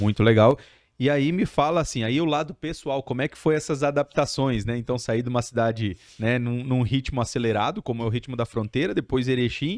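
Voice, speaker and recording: An unremarkable speaking voice moves at a fairly quick pace with ordinary pitch variation. The sound is dry and close with no echo, over a quiet background. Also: man, medium pitch for a man. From Brazil, outside Rio Grande do Sul. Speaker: podcast host. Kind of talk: podcast interview.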